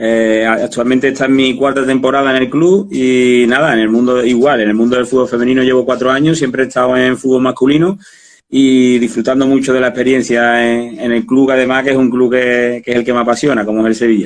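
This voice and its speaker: Hardly pausing, a man speaks at a medium pitch with fairly even intonation and very even loudness. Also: fairly quick pace. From Spain, Andalusia. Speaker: football coach. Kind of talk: interview. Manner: halting.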